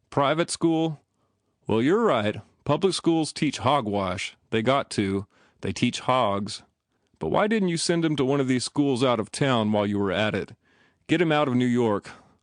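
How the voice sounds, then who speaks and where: In a gruff put-on character voice, a man speaks at a moderate pace and medium pitch with very wide pitch swings, the sound dry and close with no echo. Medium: read story. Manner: gruff, sneering.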